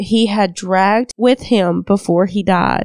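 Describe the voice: A passage is read out plainly. Nothing more is added to the reading.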